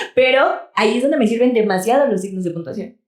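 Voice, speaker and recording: In a room with audible echo, a woman speaks with lively intonation. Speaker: podcast co-host. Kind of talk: casual chat.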